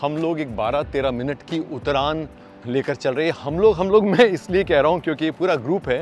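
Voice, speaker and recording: A man's fairly high voice at a moderate pace, with ordinary pitch variation and music in the background. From India. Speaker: voice artist. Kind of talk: casual travel vlog talk to camera. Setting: outdoors.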